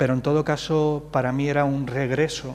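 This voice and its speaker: A man speaks at a moderate pace with flat, monotone intonation. The room has an audible echo. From Madrid, Spain, of Andalusian parents from Jaén. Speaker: playwright. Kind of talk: interview on stage at literary festival. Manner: hesitant, many fillers.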